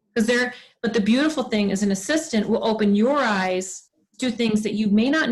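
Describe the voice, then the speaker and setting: A woman speaks at a fairly high pitch with ordinary pitch variation. Her voice is somewhat breathy. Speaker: direct sales team leader. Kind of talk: team training meeting. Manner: fast; animated.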